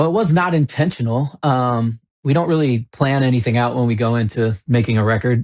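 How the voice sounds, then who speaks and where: Fairly quick delivery with very even loudness and ordinary pitch variation. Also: man, medium pitch for a man, dry, close sound with no echo. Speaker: rock band singer. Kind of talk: interview.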